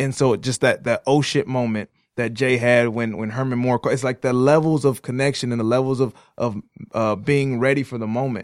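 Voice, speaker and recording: A man with an American accent speaks at a moderate pace in an ordinary speaking voice, medium-pitched with fairly even intonation. The sound is dry and close with no echo, on a very clean recording over a silent background. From Detroit area, Michigan. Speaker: podcast co-host. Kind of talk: casual conversation. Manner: run-on speech with many repetitions and fillers.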